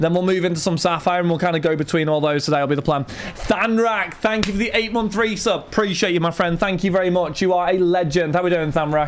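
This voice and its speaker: A man with a British accent, high-pitched with ordinary pitch variation, at a very fast pace with hardly any pauses, amid noticeable background noise. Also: very even loudness. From Britain. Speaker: card break livestreamer. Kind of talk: livestream chat. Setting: home streaming studio with lights and fan. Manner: casual, chatty.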